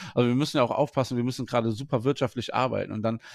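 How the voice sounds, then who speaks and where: A man speaks very fast at a medium pitch with fairly even intonation, the sound dry and close with no echo. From Germany, Wuppertal. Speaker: head chef. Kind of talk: interview.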